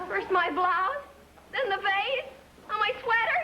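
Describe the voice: Speaking slowly, a woman puts on a character voice at an extremely high pitch, with a bright, sharp tone and lively intonation.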